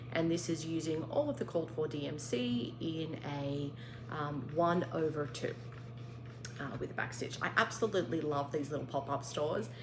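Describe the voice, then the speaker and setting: With an Australian accent, a woman with a very deep, low pitch talks at a moderate pace with ordinary pitch variation, amid audible room echo and noticeable background noise. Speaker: craft vlogger. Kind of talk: casual show-and-tell vlog.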